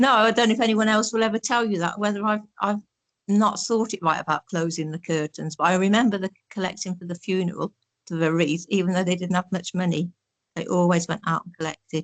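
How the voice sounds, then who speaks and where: A woman's very fast, medium-pitched voice with an East Midlands accent, ordinary pitch variation, and a dry, close sound with no echo. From Northampton, England. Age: 70s. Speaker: oral history interviewee. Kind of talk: reminiscing interview.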